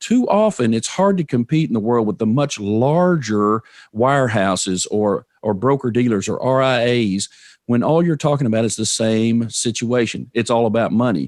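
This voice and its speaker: A man of medium pitch speaks at a moderate pace with ordinary pitch variation. His loudness stays very even over a quiet background. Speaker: financial advisor and podcast host. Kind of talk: interview conversation. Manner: storytelling.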